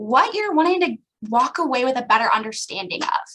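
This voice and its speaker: A woman's raised, projected voice, high in pitch, with lively intonation. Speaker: association staff speaker. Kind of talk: online presentation. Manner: fast.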